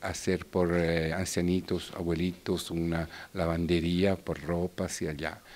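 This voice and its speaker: In an Italian accent, a man speaks at a fairly slow pace with a very deep, low pitch and monotone, flat intonation. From Italy, Bergamo; Italy. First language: Italian (speaking Spanish). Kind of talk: interview. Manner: halting. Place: hall. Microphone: handheld.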